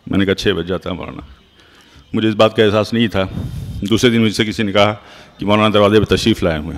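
A man's fairly low-pitched, plain, everyday voice with fairly even intonation. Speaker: medical doctor. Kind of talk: memorial tribute speech.

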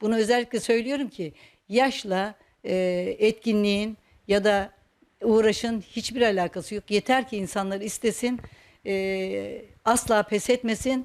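A woman with a fairly high pitch talks at a very slow pace. The recording is very clean, with a silent background. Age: 60s. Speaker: retired teacher and folk dance instructor. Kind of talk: personal interview monologue. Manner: hesitant, with frequent fillers.

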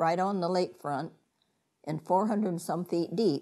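Against a quiet background, a woman with a Midwestern American accent speaks at a fairly low pitch. Her tone is dark and mellow, with ordinary pitch variation. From Ottawa County, Ohio; Ohio. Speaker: interviewee. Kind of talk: oral history interview answer. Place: home room. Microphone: lapel.

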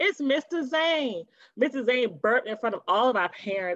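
A woman's fairly bright voice with lively intonation at a fairly slow pace

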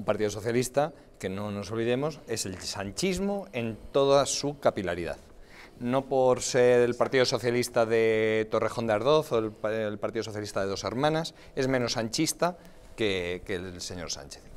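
With lively intonation, a man speaks at a moderate speed. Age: 30s. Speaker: politician. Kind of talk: TV panel debate. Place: studio.

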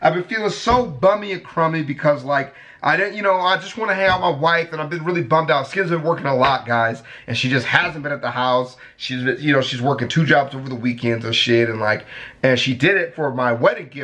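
This man talks at a fairly quick pace. His intonation is lively. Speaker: youtuber. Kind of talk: casual vlog chat. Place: home room.

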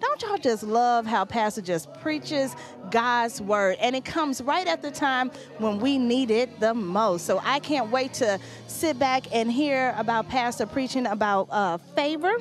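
A high-pitched woman at a fairly slow pace, dry with no echo, over clear music in the background. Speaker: church announcer. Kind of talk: church announcements. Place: church. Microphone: handheld.

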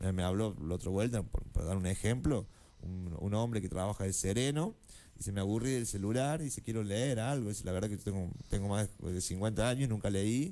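A man's fairly low voice, dark and mellow in tone, with ordinary pitch variation. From Argentina, Córdoba; Argentina. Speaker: library science student and poet; poet. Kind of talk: interview. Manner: halting, many fillers. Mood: relaxed, friendly. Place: studio. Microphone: studio mic.

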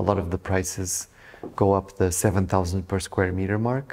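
A man speaks at a moderate pace in a Portuguese accent. His pitch is very deep and low. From Portugal (Lisbon); Portugal. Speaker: real estate agent. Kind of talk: interview. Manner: halting. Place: office.

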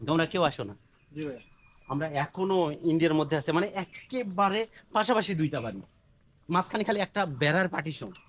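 A man speaks with lively intonation and a high pitch. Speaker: travel vlogger. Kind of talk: vlog narration and street interviews. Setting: outdoors at the border.

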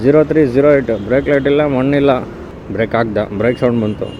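A man with a fairly high pitch and ordinary pitch variation talks over noticeable background noise. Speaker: scooter reviewer, vlogger. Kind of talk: casual vlog review.

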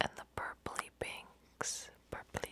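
A woman whispering at a very slow pace. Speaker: ASMR content creator. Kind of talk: ASMR whisper ramble. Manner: whispered, soft-spoken. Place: home room. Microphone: studio mic.

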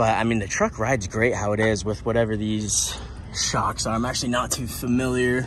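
Fairly low in pitch, a man speaks with fairly even intonation. The sound is dry with no echo, with light background noise. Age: 20s. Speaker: YouTuber. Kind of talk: casual vlog. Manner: hesitant, many fillers.

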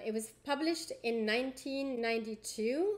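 The woman's pitch varies in an ordinary way as she talks. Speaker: assistant professor of religion. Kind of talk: educational book discussion to camera. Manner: fast. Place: home room. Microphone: webcam.

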